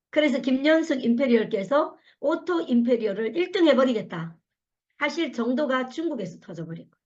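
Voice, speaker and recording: With an animated tone, a high-pitched woman speaks at a fairly quick pace, her pitch swinging very widely. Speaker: network marketing leader giving a talk. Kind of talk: motivational lecture. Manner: fast when passionate.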